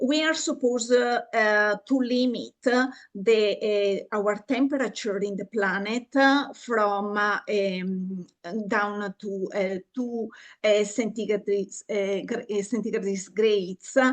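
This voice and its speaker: Against a quiet background, a woman at medium pitch talks at a very slow pace with ordinary pitch variation. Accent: Italian. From Italy. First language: Italian. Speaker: university lecturer in psychology. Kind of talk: online lecture. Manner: halting, many fillers.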